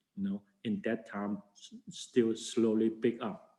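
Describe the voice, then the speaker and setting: A man with a Chinese accent, very wide pitch swings, and a very slow pace. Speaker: Buddhist monk and teacher. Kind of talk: lecture. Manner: halting.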